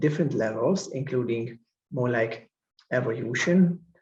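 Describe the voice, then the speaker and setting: A man with a Hungarian accent speaks in a somewhat breathy voice. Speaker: professor and researcher. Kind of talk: conference lecture.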